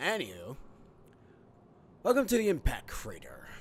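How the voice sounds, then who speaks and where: Loud and at a moderate pace, a man delivers his lines. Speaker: video game let's play host. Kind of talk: gameplay commentary. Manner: casual, filler-heavy.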